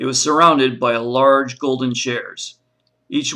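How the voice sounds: Someone reads in a natural reading voice against a quiet background. The intonation is fairly even.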